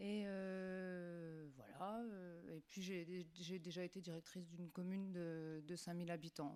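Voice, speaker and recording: The woman's fairly low voice has a dark, mellow tone and fairly even intonation. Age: 30s. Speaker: municipal election candidate. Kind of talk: candidate self-introduction.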